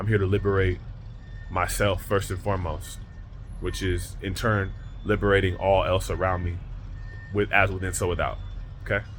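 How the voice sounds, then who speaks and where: A man's speech broken by long, frequent pauses, with audible room echo. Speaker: spiritual vlogger. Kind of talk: motivational monologue. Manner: fast.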